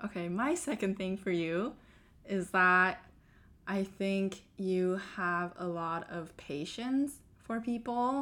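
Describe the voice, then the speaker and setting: A woman speaks very slowly with a bright, sharp tone at a medium pitch. Her pitch varies in an ordinary way, and the recording is very clean with a silent background. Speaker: software engineer and podcast host. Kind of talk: casual chat.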